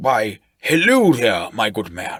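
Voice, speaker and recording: A man puts on a raspy character voice at medium pitch. His intonation is lively. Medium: read story. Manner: genteel, verbose, old-fashioned.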